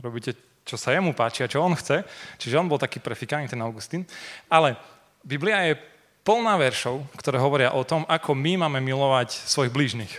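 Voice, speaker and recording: A man talks at a fairly quick pace with lively intonation. He has an ordinary speaking voice. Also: fairly high pitch for a man. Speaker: preacher. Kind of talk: sermon.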